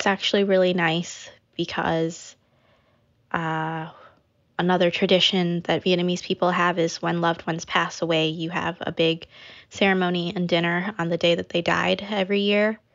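With an American accent, a woman speaks at a moderate pace in a fairly low pitch and monotone, flat intonation. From US Midwest, Naperville, Illinois. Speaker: food blogger. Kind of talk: interview.

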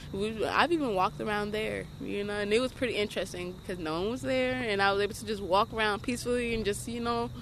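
Speaking at a fairly quick pace, a woman uses an ordinary speaking voice at a medium pitch. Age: 20s. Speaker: homeless young mother. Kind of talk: interview. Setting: outdoors.

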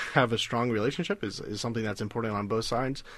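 Against a quiet background, a man talks in a plain, everyday voice with an American accent. His medium pitch carries fairly even intonation. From US South, South Carolina. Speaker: data scientist. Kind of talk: radio interview.

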